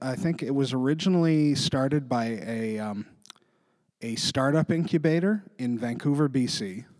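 Heard on a very clean recording with a silent background, a man with a Western Canadian accent speaks at a moderate pace, his fairly high pitch showing ordinary variation. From interior British Columbia, Canada. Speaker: writer and editor, comedian. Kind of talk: casual interview chat.

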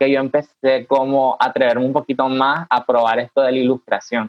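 A man speaks at medium pitch in an unremarkable speaking voice. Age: 20s. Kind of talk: casual virtual panel chat. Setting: video call.

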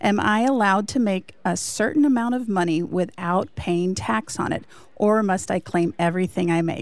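At a moderate pace, a plain, everyday voice speaks with lively intonation. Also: woman. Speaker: radio producer. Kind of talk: reading listener mail aloud. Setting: remote studio in Chicago.

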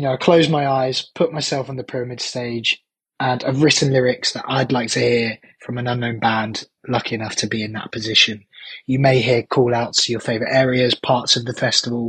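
A man with a plain, everyday voice talks at a fairly quick pace and medium pitch, his intonation fairly even. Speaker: band singer and festival steward. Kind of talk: recorded voice message.

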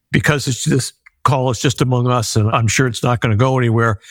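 In a normal speaking voice, the words come at a fairly quick pace. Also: man. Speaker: nonprofit founder and kidney donor. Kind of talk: interview.

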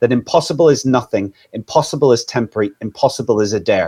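Here is a man with a Northern Irish accent. His pace is fairly quick. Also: dry, close sound with no echo. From Northern Ireland. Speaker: anti-trafficking charity leader. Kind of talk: live stream interview. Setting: live stream, video call.

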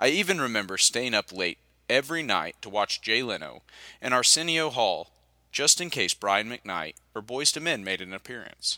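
In a very clean recording with a silent background, a man with an American accent speaks at a moderate pace in a bright, sharp tone, his medium pitch swinging very widely. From Oklahoma. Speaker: audiobook narrator. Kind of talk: audiobook narration.

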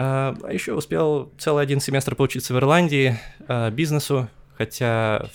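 This man's speech shows ordinary pitch variation. The recording is very clean, and the background is silent. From Estonia (Tallinn), Russian-speaking. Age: 20s. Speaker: airline pilot. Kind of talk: interview. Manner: hesitant, many fillers.

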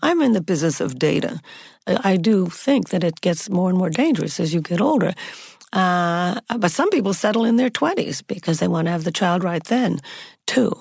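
A woman has a plain, everyday voice at a medium pitch with lively intonation. The recording is very clean, with a silent background. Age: 60s. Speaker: anthropologist and dating researcher. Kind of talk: interview.

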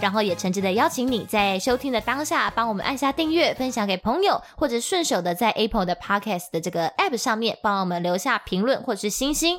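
Hardly pausing at all, a woman speaks at a fairly high pitch. Her voice makes very wide pitch swings. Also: fairly quick pace, very even loudness. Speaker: podcast co-host. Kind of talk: casual chat.

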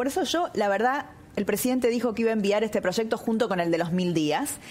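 A woman with a fairly high pitch and lively intonation speaks at a moderate pace, with noticeable noise in the background. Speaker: politician. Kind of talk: interview.

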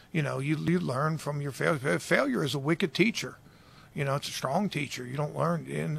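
A man talks at a fairly quick pace in an American accent, his pitch fairly high. There's vocal fry, and the pitch varies an ordinary amount. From Baltimore, US. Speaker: football defensive coordinator. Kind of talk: interview.

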